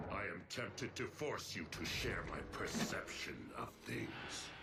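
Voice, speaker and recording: A man does a cartoonish character voice at a fairly slow pace over loud background noise. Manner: cold, emotionless, precise.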